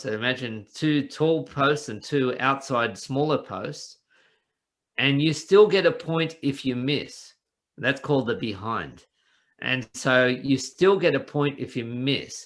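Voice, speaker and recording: The delivery is fairly slow, with ordinary pitch variation. The speaker has an Australian accent. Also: man. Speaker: business coach. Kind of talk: casual interview chat.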